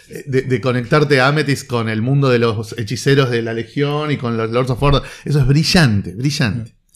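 The speaker is a man talking at a moderate pace. His pitch variation is ordinary. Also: medium pitch for a man, hardly any pauses. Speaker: comics critic. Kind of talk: casual chat.

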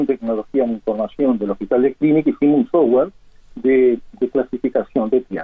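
This is a man with a normal speaking voice. He moves at a moderate pace with ordinary pitch variation. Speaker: emergency physician and university professor. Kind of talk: radio interview.

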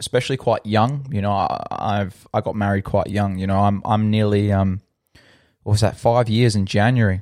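With an Australian accent, a man speaks fairly low at a moderate pace. His intonation is fairly even in a very clean recording with a silent background. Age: 20s. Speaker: podcast host. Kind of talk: personal storytelling monologue. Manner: hesitant, many fillers.

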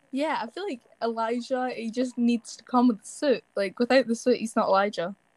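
This voice has a Scottish accent and moves at a fairly quick pace with hardly any pauses. Loudness swings widely while pitch varies in an ordinary way. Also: woman, high pitch for a woman, dry, close sound with no echo. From Scotland. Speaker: TikTok actor. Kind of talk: casual chat.

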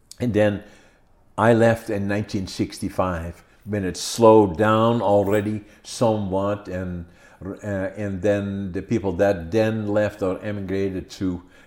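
With a Dutch accent, a man speaks at a fairly slow pace in a fairly low pitch with monotone, flat intonation. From Netherlands (Groningen). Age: 80s+. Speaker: podcast host. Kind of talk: interview. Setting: video recording at home.

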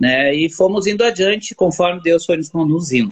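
A man with a plain, everyday voice talks at a moderate speed, his pitch varying in an ordinary way. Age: 40s. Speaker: barber and church member. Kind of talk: religious chat. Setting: online live stream.

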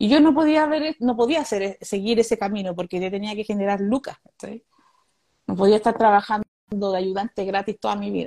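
A woman with a Chilean accent, fairly high-pitched with a dark, mellow tone, at a fairly quick pace with lively intonation, in a dry, close sound with no echo. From Chile, Santiago (Conchalí). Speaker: stand-up comedian. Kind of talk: interview.

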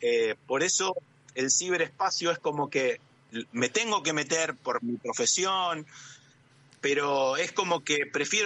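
His intonation is lively. The man speaks at a fairly slow pace. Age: 50s. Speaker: architect, illustrator and sommelier. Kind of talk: interview.

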